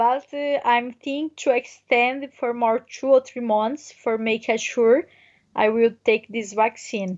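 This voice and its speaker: At a very slow pace, a woman talks in a high pitch with fairly even intonation. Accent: Brazilian Portuguese. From Brazil, near Brasilia. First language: Portuguese. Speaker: touring cyclist. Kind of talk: interview. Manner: halting non-native English.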